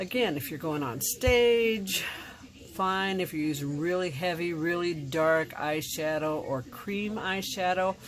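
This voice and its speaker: Her intonation is lively and her pitch fairly low. The woman speaks at a fairly slow pace. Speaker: makeup tutorial presenter. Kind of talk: tutorial.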